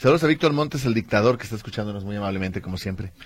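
Here a man speaks in a somewhat breathy voice. His pitch varies in an ordinary way. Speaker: radio host. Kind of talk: casual chat.

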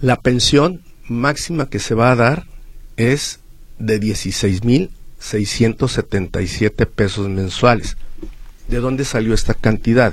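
Somewhat breathy, a man of medium pitch speaks at a very slow pace with long, frequent pauses. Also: ordinary pitch variation. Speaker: social security expert, accountant. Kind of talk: radio interview, legal advice. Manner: halting, with repetitions.

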